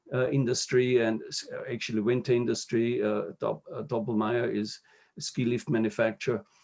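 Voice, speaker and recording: In a German accent, the speaker delivers the words at a moderate pace. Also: man. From Austria, Upper Austria. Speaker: diplomat. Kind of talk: interview. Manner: halting, many fillers and repetitions.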